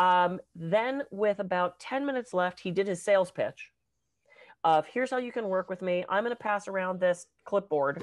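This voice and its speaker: Against a quiet background, a woman with an American accent speaks in an animated tone at medium pitch with ordinary pitch variation. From Pittsburgh, US. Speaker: podcast co-host and public speaker. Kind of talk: casual chat. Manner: fast.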